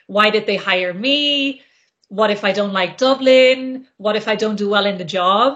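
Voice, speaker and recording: A woman with a normal speaking voice, fairly high in pitch, with ordinary pitch variation at a fairly slow pace. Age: 30s. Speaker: career coach. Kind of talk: interview.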